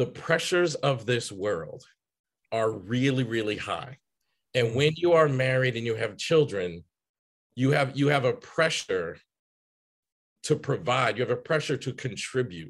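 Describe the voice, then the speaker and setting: A man with an American accent talks at a fairly slow pace and medium pitch, with lively intonation, vocal fry, and long, frequent pauses. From Chicago and Boston, US. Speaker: psychotherapist. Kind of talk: casual interview chat.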